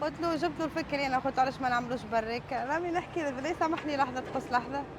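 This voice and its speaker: A woman speaks at a very fast pace and a high pitch. Her pitch variation is ordinary, with noticeable background noise behind her. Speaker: street food vendor. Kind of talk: interview.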